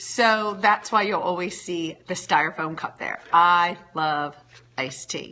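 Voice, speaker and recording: A plain, everyday voice from a woman, fairly low in pitch, at a fairly slow pace with ordinary pitch variation. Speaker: blogger and livestreamer. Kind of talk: casual livestream chat.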